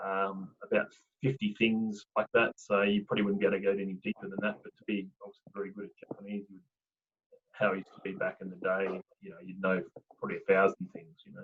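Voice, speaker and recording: Talking at a very fast pace, a man with an Australian accent keeps a fairly low pitch and monotone, flat intonation. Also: big swings in loudness. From Tasmania, Australia. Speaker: accountant. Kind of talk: casual chat.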